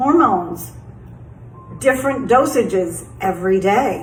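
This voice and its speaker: A woman's lively intonation amid audible room echo and noticeable background noise. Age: 60s. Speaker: health vlogger sharing personal experience. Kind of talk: casual personal explainer monologue. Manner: conversational with frequent fillers.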